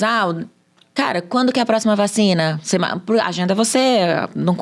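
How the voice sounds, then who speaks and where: A woman talks in an ordinary speaking voice with ordinary pitch variation. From Brazil, Minas Gerais. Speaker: sales expert. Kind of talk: podcast interview.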